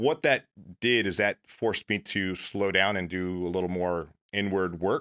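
Dry and close with no echo, a man with an American accent and a very deep, low voice speaks fairly slowly in a bright, sharp tone with ordinary pitch variation. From US South, Mississippi. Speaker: retired navy seal, company founder. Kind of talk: interview. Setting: studio.

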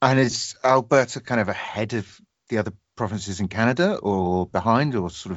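With a British accent, the speaker talks at a fairly quick pace using ordinary pitch variation. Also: man. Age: 30s. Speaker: podcast host. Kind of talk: casual chat.

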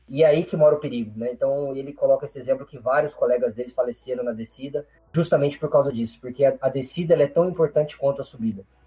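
With music playing in the background, a man talks at a very fast pace in a fairly high voice, his pitch varying in an ordinary way and his loudness swinging widely. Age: 30s. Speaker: occupational safety engineer. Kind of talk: casual interview.

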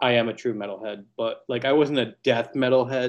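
The man has a medium pitch and fairly even intonation. He speaks at a moderate pace. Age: 30s. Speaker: bass player. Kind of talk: casual chat.

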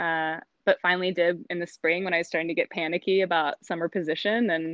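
A woman with an ordinary speaking voice talks at a moderate pace and fairly low pitch. The background is quiet, and the sound is dry and close with no echo. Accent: American. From South Carolina. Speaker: botanist. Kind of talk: interview.

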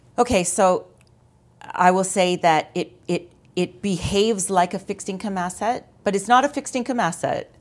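This is an ordinary speaking voice in a Canadian accent. It keeps a moderate pace with ordinary pitch variation. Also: woman, medium pitch for a woman. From Ontario, Canada (London). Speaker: insurance sales manager. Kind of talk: interview. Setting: studio.

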